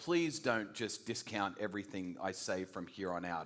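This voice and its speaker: With an American accent, a man talks at a moderate pace in a fairly low pitch, his intonation lively. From Australia (New South Wales), American parents. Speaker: guest preacher. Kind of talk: sermon. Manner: energetic, casual.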